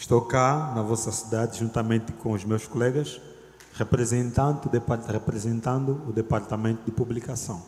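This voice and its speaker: The speaker has an Angolan accent and fairly even intonation. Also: man. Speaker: lay preacher, theology student. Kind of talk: sermon. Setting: church. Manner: loud.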